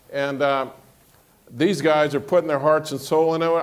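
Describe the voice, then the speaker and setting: Fairly high in pitch, a man with a normal speaking voice speaks at a moderate pace with fairly even intonation. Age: 60s. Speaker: money manager, panelist. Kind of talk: panel discussion.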